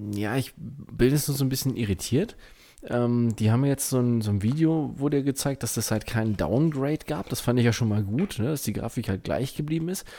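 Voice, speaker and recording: A man's medium-pitched voice, dark and mellow in tone, at a fairly quick pace with ordinary pitch variation. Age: 30s. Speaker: gaming podcast co-host. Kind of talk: casual chat.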